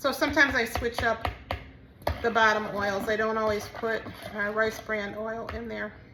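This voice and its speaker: The voice moves at a moderate pace with fairly even intonation, amid audible room echo and noticeable background noise. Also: woman, fairly high pitch for a woman. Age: 60s. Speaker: soap maker and small business owner. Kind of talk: tutorial. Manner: casual, with frequent fillers.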